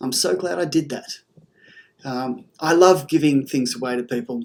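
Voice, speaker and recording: A man talks with an Australian accent and ordinary pitch variation. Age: 60s. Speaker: artist. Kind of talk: video presentation of own artwork. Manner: casual, conversational.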